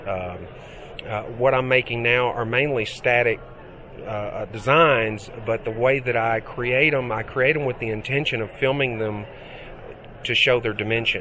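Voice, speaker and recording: Noticeable background noise accompanies a man speaking at a moderate pace. His pitch is medium, with ordinary variation. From US South, Mississippi. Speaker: digital artist. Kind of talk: interview. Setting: trade show.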